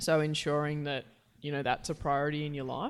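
Speaking fairly quickly with an Australian accent, a woman with a very deep, low pitch is heard on a very clean recording with a silent background. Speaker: footballer and podcast co-host. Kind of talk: casual chat.

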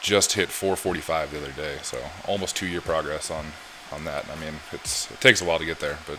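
Against noticeable background noise, a quiet man speaks at a moderate pace. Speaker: podcast guest, powerlifter. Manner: quiet, speaks at low volume.

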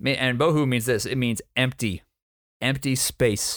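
Using an ordinary speaking voice, a man talks at medium pitch and a moderate pace. The recording is very clean, with a silent background. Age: 20s. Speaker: church planter and preacher. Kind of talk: sermon-style teaching.

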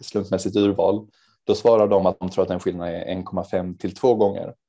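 At a moderate pace, a man speaks with a fairly low pitch, a dark, mellow tone and fairly even intonation. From Sweden, Helsingborg (Skåne). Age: 20s. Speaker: charity organisation representative. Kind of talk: interview.

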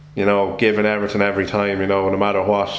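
A man speaks at a fairly low pitch in a monotone, flat intonation. Room echo is audible, and background noise is noticeable. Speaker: sports podcast host. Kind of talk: casual interview.

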